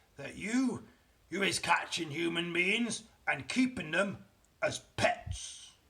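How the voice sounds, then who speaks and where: A man puts on a raspy character voice with a high pitch. He goes at a fairly slow pace. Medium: read story. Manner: mocking, menacing, ungrammatical giant talk.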